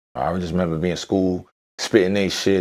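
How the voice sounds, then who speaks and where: With a New York accent, a man speaks at a very fast pace. His pitch is very deep and low. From New York, Brooklyn (Bed-Stuy). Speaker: rapper. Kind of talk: interview chat.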